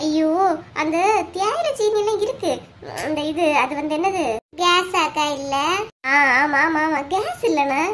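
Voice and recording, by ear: A woman puts on a cartoonish character voice, pitched extremely high. Her tone is fairly bright, her intonation lively, and she talks at a fairly slow pace with few pauses.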